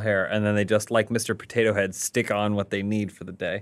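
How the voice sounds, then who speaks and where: Using a plain, everyday voice, a man speaks at a fairly quick pace and fairly low pitch. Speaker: podcast co-host. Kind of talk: casual chat. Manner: joking.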